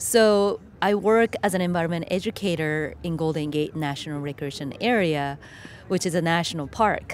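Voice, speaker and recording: In a Japanese accent, a woman speaks at a moderate pace and a fairly low pitch, with ordinary pitch variation. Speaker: filmmaker and environmental educator. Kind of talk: interview. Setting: outdoors.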